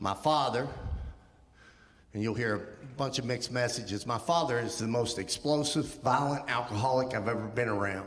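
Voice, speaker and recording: A man's medium-pitched voice with an American accent, ordinary pitch variation and a moderate pace, plus noticeable background noise and audible room echo. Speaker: guest speaker. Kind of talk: testimony. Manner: walks while talking; casual, with filler ums.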